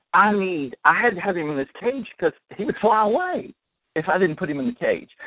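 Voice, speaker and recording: A man's high voice with very wide pitch swings, in a Southern US accent. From US South, Alabama. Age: 60s. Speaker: minister and author. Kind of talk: testimony. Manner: animated.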